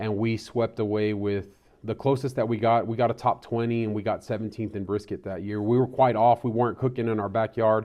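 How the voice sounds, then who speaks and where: Speaking with a West Texas accent, a man moves at a fairly quick pace. His intonation stays monotone and flat. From Texas, Terry County. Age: 40s. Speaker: mayor and barbecue cook. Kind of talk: interview.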